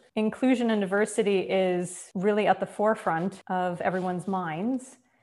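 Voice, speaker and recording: A woman with an American accent, in an unremarkable speaking voice at medium pitch, with fairly even intonation and a fairly slow pace. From Minnesota, rural US Midwest. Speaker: arts administrator and former opera singer. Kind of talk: interview conversation.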